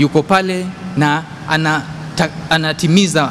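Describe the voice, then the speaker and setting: There is light background noise behind this recording. A man talks in a monotone with flat intonation. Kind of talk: lecture. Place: church.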